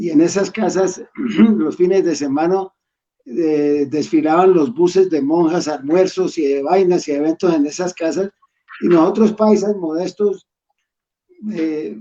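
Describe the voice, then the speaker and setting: A man's high voice at a fairly slow pace, broken by long, frequent pauses. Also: ordinary pitch variation. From Colombia, Pereira and Cali. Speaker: school alumnus. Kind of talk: casual reminiscing. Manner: halting, many repetitions. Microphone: dropped connection.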